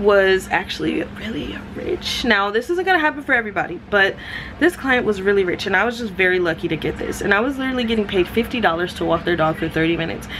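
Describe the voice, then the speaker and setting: Noticeable background noise sits behind a woman with a medium pitch. She talks very fast with lively intonation. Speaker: vlogger, gig worker. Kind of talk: casual vlog talk to camera. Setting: at home on couch. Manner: hesitant with many ums.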